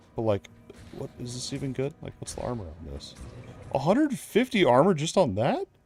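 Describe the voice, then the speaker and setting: Music plays in the background as a man talks at a fairly quick pace and medium pitch, his voice making very wide pitch swings. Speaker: gaming streamer. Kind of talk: casual chat. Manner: loud; animated.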